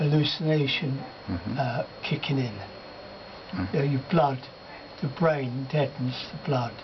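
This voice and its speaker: Noticeable background noise behind a man's fairly high, fairly slow voice with normal pitch movement. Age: 80s+. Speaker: spiritualist medium. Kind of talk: interview answer. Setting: hospice bedside.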